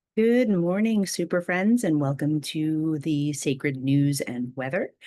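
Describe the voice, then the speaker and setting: A woman with a very deep, low pitch and a dark, mellow tone speaks at a fairly slow pace with lively intonation. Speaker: spiritual video host. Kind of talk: casual spiritual talk. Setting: at home, early morning. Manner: soft-spoken.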